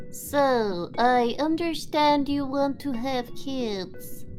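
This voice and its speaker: Using a cartoonish character voice, a woman speaks at a high pitch and a very slow pace over clear music in the background. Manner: calm, businesslike.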